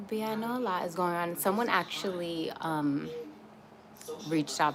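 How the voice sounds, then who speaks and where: Over noticeable background noise, a woman with an American accent speaks at a moderate pace with ordinary pitch variation. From Atlanta, US South. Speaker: YouTuber live streaming. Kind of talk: casual livestream chat. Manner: soft-spoken, talking quietly; casual, many fillers.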